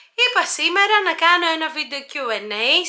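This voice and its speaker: A woman speaks over noticeable background noise. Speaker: YouTuber. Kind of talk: Q&A vlog. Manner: hesitant, many filler sounds.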